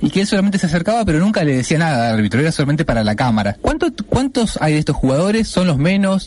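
A man's fairly high voice with an Argentine accent and very wide pitch swings, over noticeable background noise. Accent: Rioplatense Argentine Spanish. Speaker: radio co-host. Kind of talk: casual chat.

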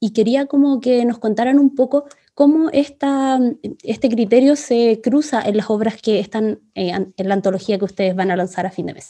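With a Chilean accent, the speaker goes at a moderate pace, showing ordinary pitch variation and big swings in loudness. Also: woman, fairly high pitch for a woman. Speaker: podcast host. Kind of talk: casual interview chat.

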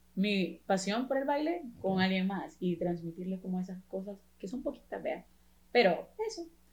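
Somewhat breathy, a woman speaks with lively intonation. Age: 20s. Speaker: professional dancer and dance teacher. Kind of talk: casual chat.

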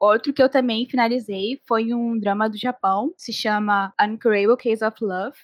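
Recorded with a dry, close sound and no echo, a normal speaking voice carries fairly even intonation. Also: woman. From Brazil, Rio de Janeiro. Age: 20s. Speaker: podcast co-host, advertising student. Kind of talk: casual chat.

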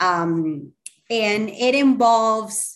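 Her intonation is lively. The woman talks with a Spanish accent. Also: quiet background. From Colombia. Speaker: communications professional. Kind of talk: interview.

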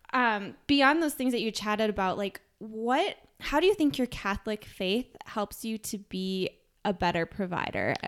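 Speaking at a moderate pace, a woman uses a normal speaking voice with a fairly high pitch and lively intonation. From US Midwest, Minnesota. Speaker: podcast host, physician assistant. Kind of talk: interview conversation.

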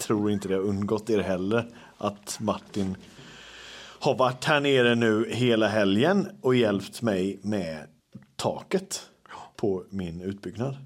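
A man talks at a very slow pace in a fairly low pitch. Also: ordinary pitch variation. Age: 30s. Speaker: podcast host, social media creator. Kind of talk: casual chat. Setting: at home.

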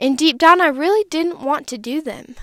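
A woman with an American accent at a moderate pace, ordinary pitch variation, on a very clean recording with a silent background. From Wisconsin, US Midwest. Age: 20s. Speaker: podcaster and content creator. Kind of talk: personal testimony. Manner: animated.

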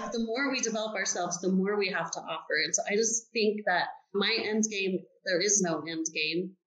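A woman's plain, everyday voice at a medium pitch, with ordinary pitch variation and a moderate pace. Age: 40s. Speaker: business owner. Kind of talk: interview.

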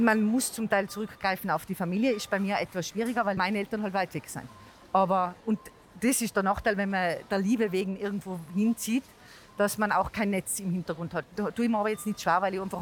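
A woman speaks in a Tyrolean accent. Her pitch sits in the medium range. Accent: Tyrolean dialect, kept. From Tyrol, Austria. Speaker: marketing employee, mother. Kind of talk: casual interview.

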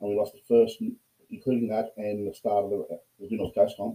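With an Australian accent, a man speaks at a fairly quick pace. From Australia, Port Macquarie. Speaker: rugby player. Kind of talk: casual chat.

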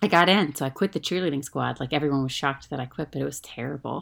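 Very deep, low-pitched woman's voice with an American accent, vocal fry and a fairly quick pace. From US South. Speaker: actress and writer. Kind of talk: casual chat.

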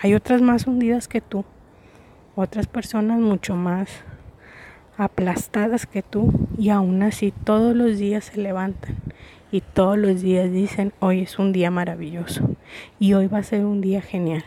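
The pace is fairly slow, with long, frequent pauses. Intonation stays fairly even. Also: woman, medium pitch for a woman. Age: 30s. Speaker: podcast host. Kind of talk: casual monologue. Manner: hesitant, many fillers.

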